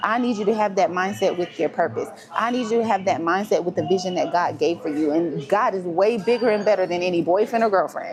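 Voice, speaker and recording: A woman talks with lively intonation as music plays in the background. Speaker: life coach. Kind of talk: motivational talk. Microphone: no microphone on, device mic.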